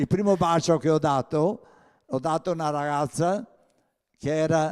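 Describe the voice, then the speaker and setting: A man's fairly high voice with a Venetian accent and ordinary pitch variation. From Val del Chiampo, Veneto, Italy. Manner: loud, sing-song lilt.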